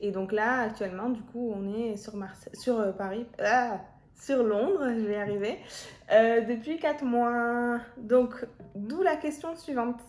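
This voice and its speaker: Against music in the background, a woman with a high pitch speaks at a very slow pace with ordinary pitch variation. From Marseille, southern France. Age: 20s. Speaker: YouTuber. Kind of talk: casual chat.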